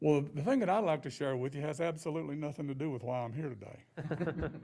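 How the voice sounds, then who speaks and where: A man with an Appalachian accent, a fairly high pitch, a dark, mellow tone, ordinary pitch variation, and a very fast pace. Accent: Southern Appalachian US. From western North Carolina. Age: 60s. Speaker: board applicant. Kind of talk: public interview at government meeting. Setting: podium at county commission meeting. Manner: halting, many repetitions.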